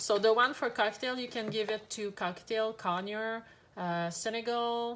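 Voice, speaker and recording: A French accent at a moderate pace, with ordinary pitch variation. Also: woman. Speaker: pet shop owner. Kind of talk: product tutorial. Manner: hesitant, many fillers.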